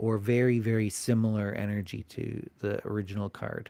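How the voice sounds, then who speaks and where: The man talks rather slowly. The rise and fall of his voice is typical. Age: 40s. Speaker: occult teacher and live streamer. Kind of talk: casual live stream chat. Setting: live stream. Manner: hesitant with many fillers.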